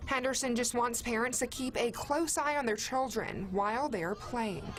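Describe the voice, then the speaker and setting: With noticeable background noise behind her, a woman talks at a moderate pace in a high pitch, her loudness very even and her pitch varying in an ordinary way. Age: 20s. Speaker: TV news reporter. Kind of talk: news report.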